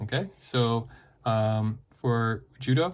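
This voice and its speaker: On a very clean recording with a silent background, a man speaks at medium pitch in a somewhat breathy voice with fairly even intonation. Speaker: teacher. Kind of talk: lesson.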